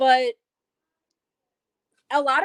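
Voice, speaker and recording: Loud and high-pitched, a woman's voice comes through dry and close with no echo. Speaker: YouTube content creator. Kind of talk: casual chat.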